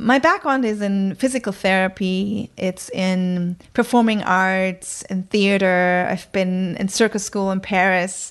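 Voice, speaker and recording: A woman with a German accent talks at a fairly slow pace, with fairly even intonation, a medium pitch and hardly any pauses. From northern Germany, countryside near Bremen. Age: 40s. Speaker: communication coach. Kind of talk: interview. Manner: hesitant, with many fillers.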